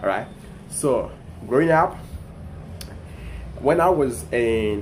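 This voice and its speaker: A man speaks with a French accent at a fairly low pitch. Audible room echo surrounds his voice. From Ivory Coast (Abidjan). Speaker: content creator. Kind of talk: casual storytelling vlog. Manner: halting, many repetitions and fillers.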